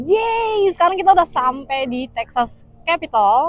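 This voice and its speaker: Her intonation rises and falls in a lively way. The speaker is a woman. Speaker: vlogger. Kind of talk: casual vlog narration. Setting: outdoors.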